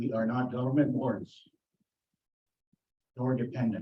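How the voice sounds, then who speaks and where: A man talks at a fairly slow pace and medium pitch. His voice is somewhat breathy. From Canada, Plains Cree community. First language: Plains Cree. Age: 60s. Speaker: community delegate at council meeting. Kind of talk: prepared presentation to council. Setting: town council meeting.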